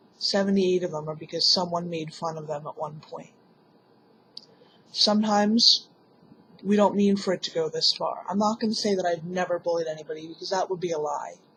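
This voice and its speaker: At a fairly quick pace, a woman talks in a normal speaking voice, fairly low in pitch, with fairly even intonation. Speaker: vlogger. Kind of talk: personal vlog monologue.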